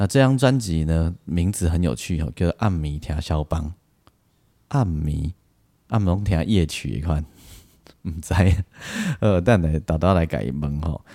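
Using a dark, mellow tone and a very deep, low pitch, a man talks at a fairly slow pace with lively intonation and long, frequent pauses. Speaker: podcast host and Taiwanese-language songwriter, arranger. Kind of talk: casual interview. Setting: remote interview.

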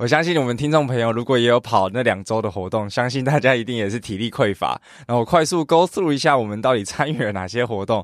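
Here a man talks at a very fast pace. His pitch is medium with ordinary variation. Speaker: podcast co-host. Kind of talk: casual chat. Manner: laughs often, uses fillers.

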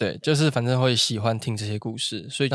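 Over a silent background on a very clean recording, a man with a Taichung accent talks at a very fast pace. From Taiwan, Taichung. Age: 20s. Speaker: podcast host. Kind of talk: casual chat.

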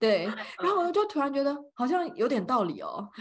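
Over noticeable background noise, a woman speaks in an animated tone at a moderate pace, her pitch swinging very widely. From Taiwan. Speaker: podcast co-host. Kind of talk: casual chat. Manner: animated, frequent laughter.

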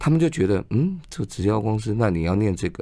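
An ordinary speaking voice from a man, fairly low in pitch, on a very clean recording with a silent background. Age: 50s. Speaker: advertising executive and author. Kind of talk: radio interview. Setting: radio studio.

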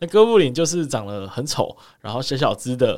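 Recorded very cleanly against a silent background, a man with a fairly high voice talks at a fairly quick pace. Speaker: podcast co-host. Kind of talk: casual chat.

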